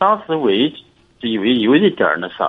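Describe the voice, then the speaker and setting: Very wide pitch swings in a man's voice. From Inner Mongolia, China. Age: 40s. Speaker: caller seeking advice. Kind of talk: call-in advice conversation. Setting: phone call. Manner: halting, with many repetitions.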